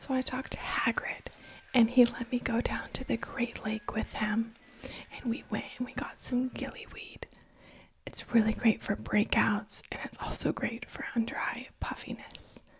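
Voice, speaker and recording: Whispering, a woman keeps to a moderate pace. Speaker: ASMR roleplay creator. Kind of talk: roleplay ASMR chat. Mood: cheerful, warm. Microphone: studio mic.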